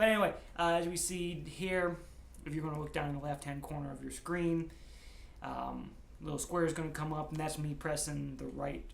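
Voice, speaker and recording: Over audible room echo, a man mumbles. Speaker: gaming YouTuber. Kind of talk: gameplay commentary. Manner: mumbling; casual, hesitant with fillers.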